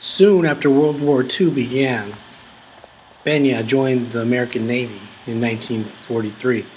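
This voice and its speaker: Moderate pace from a man with fairly even intonation, plus noticeable background noise. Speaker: multimedia journalist. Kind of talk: news feature narration.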